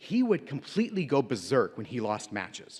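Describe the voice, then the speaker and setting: A man with an American accent, vocal fry and very wide pitch swings, on a very clean recording with a silent background. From United States. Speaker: teacher, invited speaker. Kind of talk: motivational speech.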